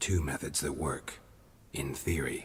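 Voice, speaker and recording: Doing a put-on character voice, a man speaks in a deadpan tone with a very deep, low pitch at a fairly slow pace, with clear background noise. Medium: video game. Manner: low, terse, deadpan.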